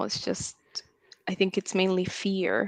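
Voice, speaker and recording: A woman speaks at a very slow pace, her sound dry and close with no echo, against a quiet background. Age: 30s. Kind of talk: casual chat.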